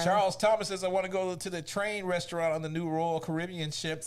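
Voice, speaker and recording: Over noticeable background noise, a man talks at a very fast pace. His high voice stays monotone, with flat intonation. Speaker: show host reading out audience comments. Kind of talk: casual, colloquial.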